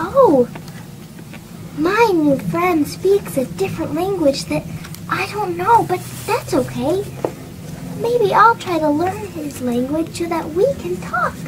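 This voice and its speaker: The speaker uses a cartoonish character voice at a fairly slow pace. Background noise is clearly audible. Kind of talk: children's puppet show. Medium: puppet show. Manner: sweet, patient.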